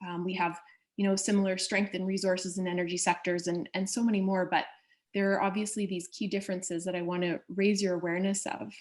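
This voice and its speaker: A woman at medium pitch, very fast and monotone, with flat intonation. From Canada. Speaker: trade and investment official. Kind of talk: presentation.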